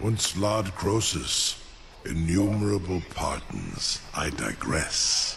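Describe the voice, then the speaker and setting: Putting on a character voice, a man talks very slowly at a fairly low pitch over clear background noise. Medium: video game. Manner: formal, archaic.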